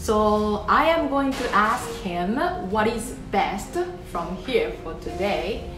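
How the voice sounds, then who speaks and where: A woman's voice comes through with clear music playing behind her. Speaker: interviewer, vlog host. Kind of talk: interview questions, bilingual vlog. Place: cafe. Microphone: phone near.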